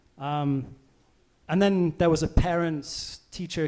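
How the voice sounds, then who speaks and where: The speaker is a man with an English accent. His tone is dark and mellow. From England. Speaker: volcano seismologist. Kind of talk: public science talk. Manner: hesitant, many fillers.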